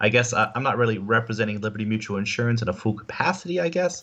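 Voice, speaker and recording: A man talks at a very fast pace with a medium pitch. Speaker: insurance agent. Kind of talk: interview on live stream. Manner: hesitant, many fillers.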